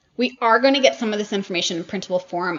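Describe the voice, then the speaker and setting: Over noticeable background noise, a woman at a medium pitch talks at a very fast pace with lively intonation. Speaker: online seller and workshop teacher. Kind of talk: live virtual workshop presentation. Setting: livestream. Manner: animated.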